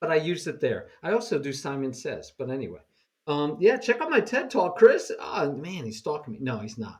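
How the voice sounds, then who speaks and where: A man talks at a fairly quick pace with a New York accent. His voice is somewhat breathy. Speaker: chess teacher. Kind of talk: casual chat. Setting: video call. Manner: fast.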